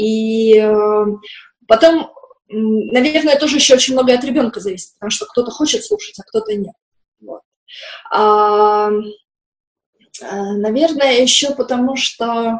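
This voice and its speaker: A woman speaks at a fairly high pitch and fairly slow pace, with long, frequent pauses. Her loudness swings widely while her pitch varies in an ordinary way. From post-Soviet industrial town. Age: 30s. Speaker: children's art teacher. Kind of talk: interview. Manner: hesitant.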